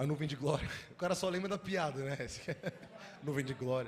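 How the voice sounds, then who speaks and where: There is audible room echo as a man speaks at a fairly quick pace, his pitch fairly high with ordinary variation. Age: 20s. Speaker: youth pastor. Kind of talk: sermon. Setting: church. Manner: animated.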